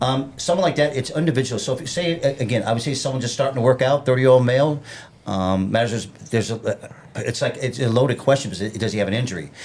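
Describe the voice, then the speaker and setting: Noticeable background noise sits under the recording. A man with a medium pitch speaks at a very fast pace with ordinary pitch variation. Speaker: fitness trainer. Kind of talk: casual chat.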